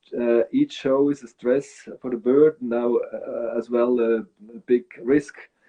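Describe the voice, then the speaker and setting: In a Swiss German accent, a man speaks at a medium pitch with fairly even intonation. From Switzerland. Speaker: bird breeder. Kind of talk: interview. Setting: live video stream.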